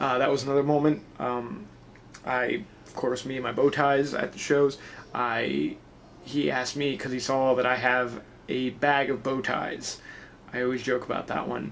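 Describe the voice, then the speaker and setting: A man is mumbling. His intonation is fairly even. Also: medium pitch for a man, moderate pace. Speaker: wrestling vlogger and pro wrestler. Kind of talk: casual vlog. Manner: a little mumbly.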